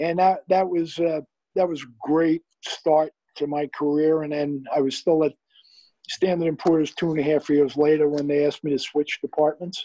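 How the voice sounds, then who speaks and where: Monotone, flat delivery in a New York accent at a moderate pace, dark and mellow in tone, dry with no echo over a quiet background. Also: man, fairly high pitch for a man. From New York City, the Bronx. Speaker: retired investment firm CEO. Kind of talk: interview. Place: home room. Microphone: video call.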